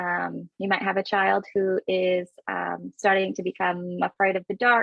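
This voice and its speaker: A woman speaks with a Canadian accent. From Canada. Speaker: parenting coach. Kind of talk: webinar presentation. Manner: halting with many fillers.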